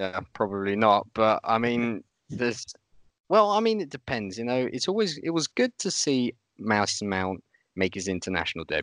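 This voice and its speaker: This man has a normal speaking voice at a medium pitch and a moderate pace, with a dry, close sound and no echo. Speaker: podcast host. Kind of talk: casual podcast chat.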